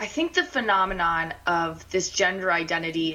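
Through noticeable background noise, a woman with a fairly low pitch speaks with ordinary pitch variation. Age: 20s. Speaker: political reporter. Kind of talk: phone interview on talk radio.

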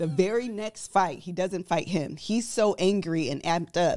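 A woman speaks at a fairly slow pace in a medium pitch, with ordinary pitch variation and an unremarkable speaking voice. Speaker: podcast host. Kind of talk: casual chat.

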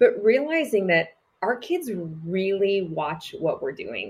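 Very slowly and with long, frequent pauses, a woman speaks in a medium pitch, somewhat breathy, her pitch swinging very widely. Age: 40s. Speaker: church leader and speaker. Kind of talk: casual chat.

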